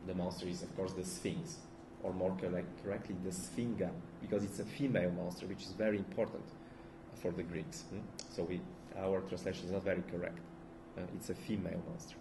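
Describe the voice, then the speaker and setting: A man with a Bulgarian accent, a very deep, low pitch and fairly even intonation, at a fairly quick pace but with long, frequent pauses, amid audible room echo and noticeable background noise. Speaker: philosopher. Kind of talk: lecture. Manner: halting, many fillers and restarts.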